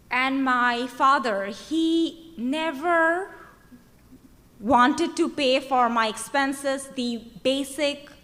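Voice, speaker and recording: High-pitched woman's voice in a Bengali accent, bright and sharp in tone, at a very slow pace with ordinary pitch variation and audible room echo. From Bangladesh. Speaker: activist. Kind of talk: conference speech. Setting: stage with audience. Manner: halting.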